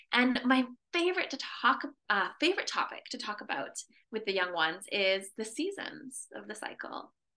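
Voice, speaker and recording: A woman with a Canadian accent talks at a moderate pace in a fairly high, bright, sharp voice, her pitch swinging very widely and her loudness rising and falling a lot. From Canada. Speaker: menstrual health educator. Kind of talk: podcast interview.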